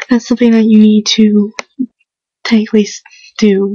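A woman whispers at a fairly slow pace, somewhat breathy, in a dry sound with no echo against a quiet background. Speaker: home video maker. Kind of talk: casual talk to camera awareness video. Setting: indoors at home, quiet. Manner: whispered, hushed. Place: home room.

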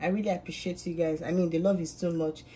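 A woman speaks at a fairly quick pace. Her tone is dark and mellow, and somewhat breathy. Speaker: home cook vlogger. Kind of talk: casual cooking tutorial. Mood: cheerful, friendly. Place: kitchen. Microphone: phone near.

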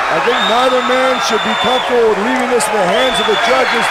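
Man at a fairly quick pace, dry sound with no echo, loud background noise. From Vancouver, Canada. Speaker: MMA commentator. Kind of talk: MMA play-by-play and colour commentary. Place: stadium. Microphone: headset.

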